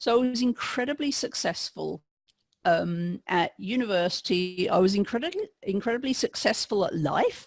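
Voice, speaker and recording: This woman speaks with an English accent. Her intonation is lively. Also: moderate pace, dry, close sound with no echo. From England. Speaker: podcast guest, pastry chef. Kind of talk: interview testimony. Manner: hesitant, with repetitions.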